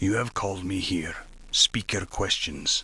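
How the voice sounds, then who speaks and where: Putting on a growling character voice, a man speaks at a moderate pace with a very deep, low pitch and fairly even intonation. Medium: machinima. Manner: terse, blunt.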